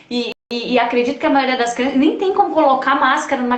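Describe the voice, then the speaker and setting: With a slight gaúcho accent, a woman speaks at a high pitch with ordinary variation, and audible room echo surrounds her voice. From Rio Grande do Sul, Brazil. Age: 40s. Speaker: project founder and live host. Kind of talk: casual chat. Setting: live stream.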